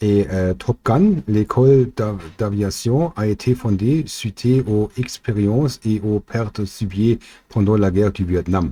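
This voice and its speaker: In a very clean recording with a silent background, a man with a German accent speaks very slowly in a somewhat breathy, dark, mellow tone, with ordinary pitch variation and a dry, close sound with no echo. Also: fairly low pitch for a man. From Germany. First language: German (speaking French). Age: 40s. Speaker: amateur theorist, chemical industry worker. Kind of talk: explainer video. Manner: halting, many fillers.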